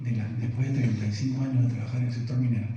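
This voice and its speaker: A man at medium pitch talks at a very fast pace. Room echo is audible, along with noticeable background noise. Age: 60s. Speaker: conference speaker, retired mining executive and professor. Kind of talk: keynote lecture. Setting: conference hall with audience. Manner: halting, many fillers.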